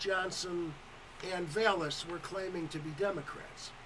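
Noticeable background noise runs behind the recording. A man speaks very slowly in a high voice. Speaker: radio co-host. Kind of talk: casual banter. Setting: studio.

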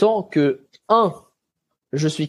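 The man's voice has a dark, mellow tone. Its pitch shifts in an ordinary way. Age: 20s. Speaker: athlete. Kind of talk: interview. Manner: casual.

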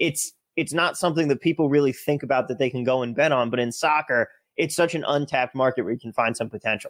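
Someone with an American accent speaks very fast in a dry, close recording with no echo. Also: man, fairly high pitch for a man, ordinary pitch variation. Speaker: podcast host. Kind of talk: casual chat.

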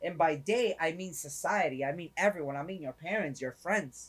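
Speaking with an American accent, a man uses an animated tone and ordinary pitch variation. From New York City. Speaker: podcast host. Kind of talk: motivational monologue.

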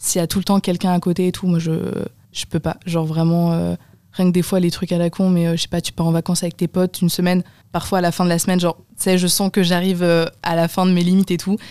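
A woman at a very fast pace, fairly low in pitch with monotone, flat intonation and a dark, mellow tone, in a dry, close sound with no echo. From Brittany, France. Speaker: student podcast host. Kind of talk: casual chat.

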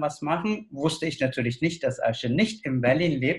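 A man talks in a fairly high pitch, keeping a moderate pace. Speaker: dramaturge. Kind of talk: casual chat.

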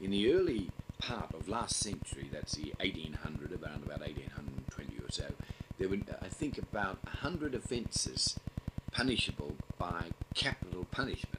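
Someone whispers with an Australian accent over noticeable background noise. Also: moderate pace. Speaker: criminal lawyer. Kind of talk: interview. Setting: recorded on cassette tape.

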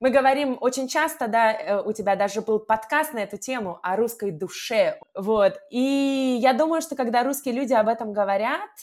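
In an unremarkable speaking voice, a woman talks at a moderate pace, fairly high in pitch, with lively intonation. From Russia. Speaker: language teacher. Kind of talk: casual chat.

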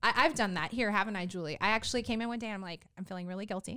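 A woman talks at a very fast pace in an animated way with a medium pitch. Her tone is bright and sharp. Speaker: podcast host and mom business owner. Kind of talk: casual chat. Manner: animated, giggly.

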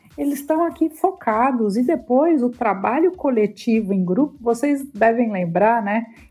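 With music in the background, a woman talks at a fairly slow pace with hardly any pauses, her pitch high and her intonation lively. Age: 50s. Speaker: career columnist and business executive. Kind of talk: casual chat.

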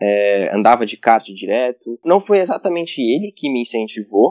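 With an unremarkable speaking voice, a man talks at a moderate pace and ordinary pitch variation. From Goiânia, Brazil. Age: 20s. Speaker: racing driver. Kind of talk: interview.

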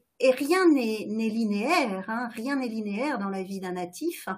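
Speaking at a very slow pace, a woman uses lively intonation. Her voice is fairly high-pitched and somewhat breathy. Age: 50s. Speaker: astrologer. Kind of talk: interview.

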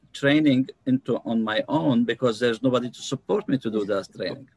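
Dry and close with no echo, the recording captures a man with an unremarkable speaking voice, medium in pitch, with ordinary pitch variation at a moderate pace. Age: 50s. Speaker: numerologist and healer. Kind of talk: interview.

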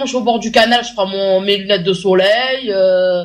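Pitch rises and falls in an ordinary way. The pace stays moderate. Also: woman. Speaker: radio show panelist. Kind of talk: casual chat. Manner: calm.

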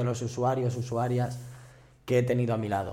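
Heard with audible room echo, a man speaks in a dark, mellow tone. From Madrid. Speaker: activist and social worker. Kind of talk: casual chat.

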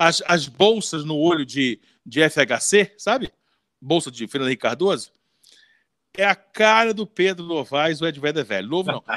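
With lively intonation and a fairly high pitch, a man speaks at a fairly slow pace with long, frequent pauses, in a dry, close sound with no echo on a very clean recording over a silent background. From Rio de Janeiro, Brazil (Leme). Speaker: podcast host. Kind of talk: casual chat.

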